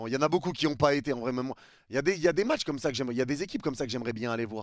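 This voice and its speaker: A man with a medium-pitched voice speaks in an animated tone with ordinary pitch variation, recorded very cleanly against a silent background. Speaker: streamer reacting to a vlog. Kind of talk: live stream reaction commentary. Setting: live stream. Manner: casual, animated.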